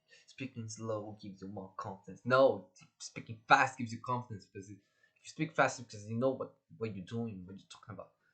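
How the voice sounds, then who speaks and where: Bright and sharp in tone, a man at medium pitch keeps fairly even intonation while his loudness swings widely at a fairly quick pace. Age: 20s. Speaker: vlogger. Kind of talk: casual monologue. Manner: fast; halting, repeats words.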